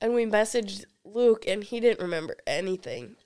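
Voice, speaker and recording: In a very clean recording with a silent background, a woman uses a plain, everyday voice at a fairly high pitch with fairly even intonation. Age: 20s. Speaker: college student. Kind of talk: casual chat. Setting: studio.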